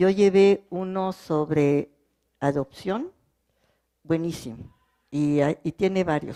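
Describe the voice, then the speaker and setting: Her tone is dark and mellow. The woman talks at a very slow pace, leaving long, frequent pauses. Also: fairly low pitch for a woman, ordinary pitch variation. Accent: French. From French-speaking country. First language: French (speaking Spanish). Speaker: legal translator. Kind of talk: panel talk. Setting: cultural centre with audience.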